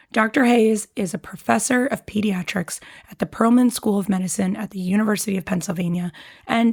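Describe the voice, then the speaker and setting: A somewhat breathy woman speaks with ordinary pitch variation. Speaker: medical podcast host. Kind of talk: interview.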